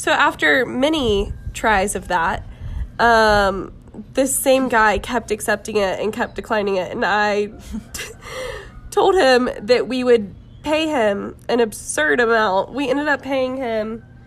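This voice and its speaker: At a fairly slow pace, a woman with an ordinary speaking voice talks at a fairly high pitch with lively intonation. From US South, Jacksonville, Florida. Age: 20s. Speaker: missionary traveler. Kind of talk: casual chat.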